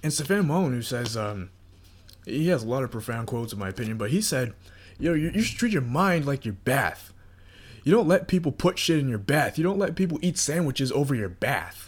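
Fairly quick and somewhat breathy, a man speaks at a fairly high pitch with very wide pitch swings. The recording is very clean, with a silent background. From North Carolina. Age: 20s. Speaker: podcast host. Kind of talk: casual monologue.

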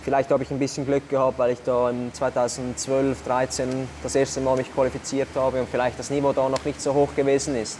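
A man's medium-pitched voice stays monotone and flat against noticeable background noise. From Switzerland, Zurich Unterland. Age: 20s. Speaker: CrossFit athlete and athletic coach. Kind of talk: interview.

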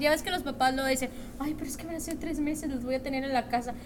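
A woman's high-pitched voice at a fairly quick pace with ordinary pitch variation, amid noticeable background noise and audible room echo. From Mexico, Monterrey. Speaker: guest. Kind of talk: casual chat.

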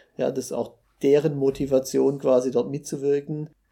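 Man's medium-pitched voice with a dark, mellow tone, monotone, flat intonation and a moderate pace, on a very clean recording with a silent background. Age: 40s. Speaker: startup founder and engineer. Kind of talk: interview. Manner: hesitant, with frequent fillers.

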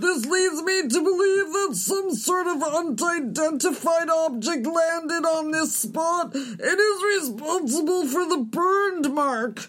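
An extremely high-pitched voice over light background noise. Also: fairly slow pace, hardly any pauses. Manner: excited, earnest.

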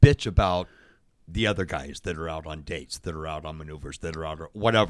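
A man talks fairly quickly, his voice marked by vocal fry. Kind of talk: casual interview. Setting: studio.

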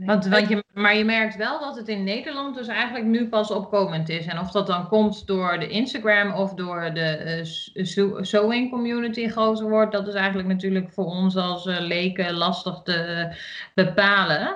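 Against noticeable background noise and audible room echo, a woman talks at a moderate pace. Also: medium pitch for a woman, ordinary pitch variation. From Achterhoek, eastern Netherlands. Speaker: podcast co-host, sewing hobbyist. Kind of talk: casual chat.

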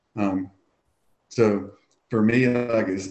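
Speaking with a Southern US accent, the voice moves at a fairly slow pace with fairly even intonation. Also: man. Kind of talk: casual interview chat.

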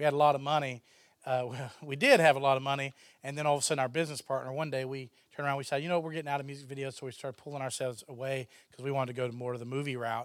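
A man in a Texan accent speaks at a very fast pace with a fairly high pitch and monotone, flat intonation, recorded very cleanly against a silent background. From Texas. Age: 30s. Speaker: filmmaker. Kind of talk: interview.

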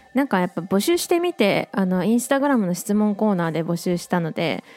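Music plays in the background as a woman speaks at a fairly quick pace. Her intonation is lively. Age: 20s. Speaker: illustrator and track maker, podcast host. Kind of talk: casual solo radio talk. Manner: casual, chatty.

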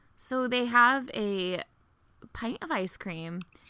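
A woman's bright, sharp tone and lively intonation with an American accent, in a very clean recording over a silent background. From US South. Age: 20s. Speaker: podcast host. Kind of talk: casual chat.

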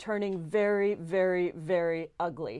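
This woman has an ordinary speaking voice at a medium pitch, with ordinary pitch variation. Behind her the background is quiet. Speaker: state senator. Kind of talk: interview conversation.

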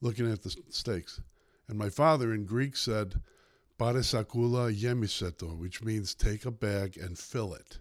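Spoken with a Chicago accent at a fairly slow pace. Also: man. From Chicago South Side. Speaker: newspaper columnist. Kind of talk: casual interview.

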